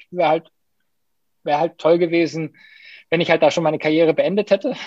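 A man's high-pitched voice with ordinary pitch variation and a dry, close sound with no echo. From Hamburg, northern Germany. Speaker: elite marathon runner. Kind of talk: podcast interview.

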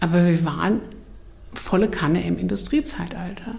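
A woman's voice with audible room echo. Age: 60s. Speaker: book publisher. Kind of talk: casual chat.

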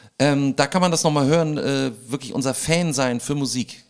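This is a man talking at a medium pitch. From Hamburg, Germany. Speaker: a cappella comedy singer. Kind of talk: casual chat.

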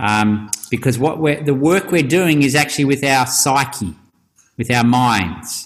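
At a fairly slow pace, a man with a plain, everyday voice speaks at medium pitch with ordinary pitch variation and very even loudness. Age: 50s. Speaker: rites-of-passage facilitator and author. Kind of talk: interview.

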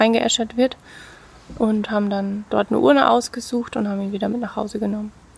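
A woman's fairly high voice moves at a fairly quick pace with ordinary pitch variation while noticeable background noise carries on. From Lower Franconia, Bavaria (Bad Kissingen). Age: 30s. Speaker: former nurse and teacher, pet cremation business owner. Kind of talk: casual interview.

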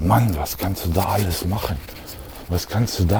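Noticeable background noise sits behind a man whose pitch is very deep and low. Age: 40s. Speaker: solo podcaster. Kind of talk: casual monologue while walking. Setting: outdoors, walking. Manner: halting, many fillers.

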